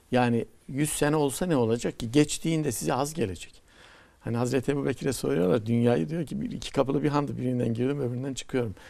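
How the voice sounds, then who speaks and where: Delivered at a very fast pace, the voice has a dark, mellow tone and lively intonation. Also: man. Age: 60s. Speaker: poet and professor; poet, professor. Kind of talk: TV talk show conversation. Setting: TV studio. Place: studio. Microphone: lapel.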